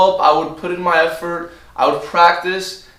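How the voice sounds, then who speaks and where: A man with a high-pitched voice at a moderate pace, over noticeable background noise. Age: 20s. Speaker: vlogger. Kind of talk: casual talk to camera.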